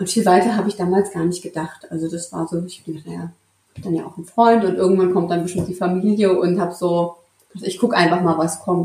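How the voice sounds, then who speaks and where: At a fairly quick pace, a woman talks at medium pitch. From Central Hesse, Germany (Marburg). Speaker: intensive care nurse. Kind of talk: interview conversation. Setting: in person with co-host, hybrid recording.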